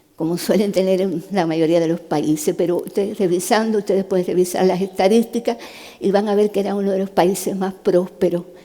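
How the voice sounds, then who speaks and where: A woman's medium-pitched voice with ordinary pitch variation and noticeable background noise. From Cuba. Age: 70s. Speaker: neurosurgeon giving a talk. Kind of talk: testimony talk. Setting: stage with audience. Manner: conversational.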